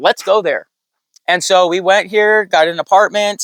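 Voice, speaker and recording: A man with a Californian accent speaks at a moderate pace in a high voice, recorded with a dry, close sound and no echo. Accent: Californian American English. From US West Coast, San Diego. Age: 40s. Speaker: off-grid sticker business owner. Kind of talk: casual interview.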